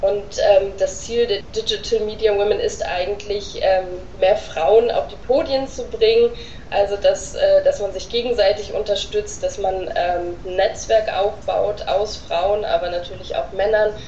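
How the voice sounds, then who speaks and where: With noticeable background noise present, a woman speaks at a fairly slow pace. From northern Germany (Oldenburg). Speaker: social media manager. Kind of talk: interview answers. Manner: hesitant with many fillers.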